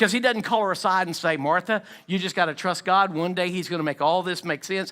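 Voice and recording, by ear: The voice reads aloud naturally, and its pitch moves in an ordinary way.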